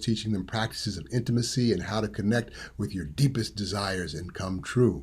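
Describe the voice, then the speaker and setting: In an American accent, a man speaks at a fairly quick pace with a fairly low pitch, ordinary pitch variation and vocal fry. The recording is very clean, with a silent background. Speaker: tantra teacher. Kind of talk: presentation.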